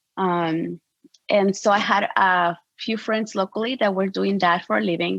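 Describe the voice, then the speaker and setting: A woman speaks with a Spanish accent at a medium pitch. Her intonation stays fairly even. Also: moderate pace. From Mexico. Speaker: portrait photographer. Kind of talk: interview.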